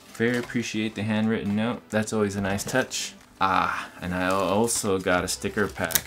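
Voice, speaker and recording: The man keeps a medium tempo while noticeable noise runs in the background. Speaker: product reviewer. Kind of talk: casual vlog chat. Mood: enthusiastic, upbeat. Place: home room.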